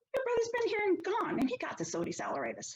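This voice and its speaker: A woman uses a squeaky, put-on character voice at an extremely high pitch. She talks very fast, with very wide pitch swings. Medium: read story. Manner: folksy, plain-spoken.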